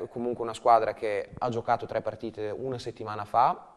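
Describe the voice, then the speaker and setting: In a normal speaking voice, a man talks at medium pitch with fairly even intonation. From Romagna, Italy; Italy. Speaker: handball coach. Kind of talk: casual chat. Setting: studio. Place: studio. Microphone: lapel.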